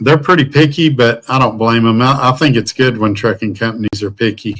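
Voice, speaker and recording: Fairly quick delivery in a Southern US accent, with ordinary pitch variation. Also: man, medium pitch for a man. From US South. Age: 50s. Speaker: truck driver and livestreamer. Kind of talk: casual live stream chat. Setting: hotel room.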